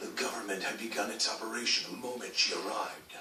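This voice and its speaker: Cartoonish character voice from a man, medium in pitch, at a very fast pace, with slight echo and clear background noise. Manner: severe, commanding.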